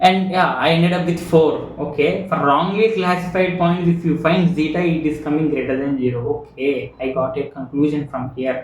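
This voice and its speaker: Over noticeable background noise and audible room echo, a man with a fairly high pitch talks with hardly any pauses. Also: ordinary pitch variation, moderate pace. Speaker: machine learning educator. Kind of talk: tutorial. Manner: halting.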